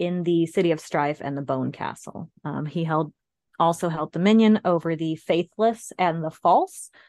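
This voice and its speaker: A woman talks in a plain, everyday voice, fairly low in pitch and at a fairly slow pace, with ordinary pitch variation. The sound is dry and close with no echo, over a quiet background. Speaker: podcast co-host. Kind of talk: casual informative chat.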